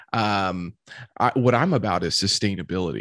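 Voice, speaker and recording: On a very clean recording with a silent background, a man speaks with vocal fry in a dry, close sound with no echo. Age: 30s. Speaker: podcast host. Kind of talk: casual chat.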